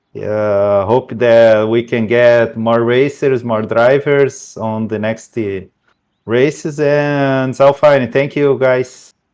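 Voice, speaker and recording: A man with a Brazilian Portuguese accent, very slow delivery, fairly even intonation, and a quiet background. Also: medium pitch for a man. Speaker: sim racing driver. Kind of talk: post-race interview. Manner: halting.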